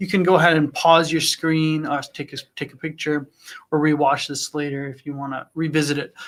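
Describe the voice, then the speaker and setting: In an unremarkable speaking voice, a man moves along at a fairly quick pace. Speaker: trading analyst hosting live Q&A stream. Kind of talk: live Q&A with chart analysis. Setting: livestream. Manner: conversational with fillers.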